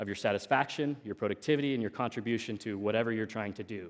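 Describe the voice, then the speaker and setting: Very fast and medium-pitched, a man with an American accent speaks with ordinary pitch variation in a very clean recording with a silent background. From US Pacific Northwest, Oregon coast. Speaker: tech entrepreneur, conference speaker. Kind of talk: conference talk. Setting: stage with audience. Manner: casual, frequent fillers and repetitions.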